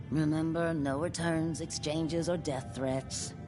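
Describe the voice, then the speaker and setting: Loud background noise sits behind a put-on character voice at a middle pitch and a fairly slow pace. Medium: video game. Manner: wry.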